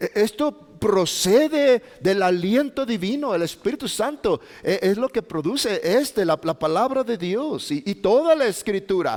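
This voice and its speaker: In a northern Mexican accent, a man speaks at a fairly slow pace. His pitch swings very widely. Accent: northern Mexican (Chihuahua). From Mexico, Chihuahua. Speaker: pastor. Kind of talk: sermon. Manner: halting.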